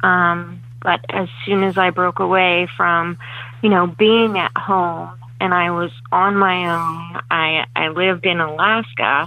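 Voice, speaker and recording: A woman with a fairly low voice speaks very slowly with ordinary pitch variation over noticeable background noise. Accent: American. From Pennsylvania, Reading area. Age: 40s. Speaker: recovering alcoholic, army veteran. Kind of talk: telephone interview, personal testimony. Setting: phone call.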